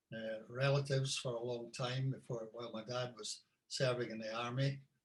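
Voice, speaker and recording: This man speaks in a Scottish Borders accent at a moderate pace and medium pitch. His intonation is monotone and flat, and his voice is somewhat breathy. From Scotland, Scottish Borders (Hawick). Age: 70s. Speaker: musician and tour guide. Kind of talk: interview, life story.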